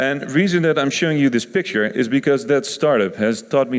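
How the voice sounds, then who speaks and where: A man speaks with a Dutch accent. His intonation is lively. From Netherlands (Rotterdam). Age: 30s. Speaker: innovation consultant. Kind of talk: conference talk. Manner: hesitant, many fillers.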